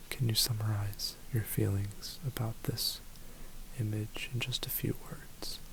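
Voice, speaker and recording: A soft-spoken voice at a fairly slow pace, with noticeable background noise. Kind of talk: ASMR guided grounding exercise.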